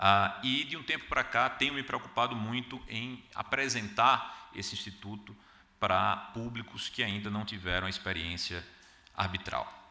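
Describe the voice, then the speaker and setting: A man with a Paraíba accent talks at a fairly slow pace, fairly low in pitch with ordinary pitch variation. Noticeable background noise and audible room echo are present. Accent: northeastern Brazilian (Paraíba). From Brazil, Paraíba (João Pessoa). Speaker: arbitration lawyer and panelist. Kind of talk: conference talk. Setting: conference hall with audience. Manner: hesitant, frequent filler 'ah'.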